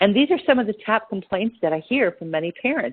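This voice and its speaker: Very wide pitch swings run through a woman's speech. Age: 60s. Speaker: nutrition practitioner. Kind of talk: informational talk.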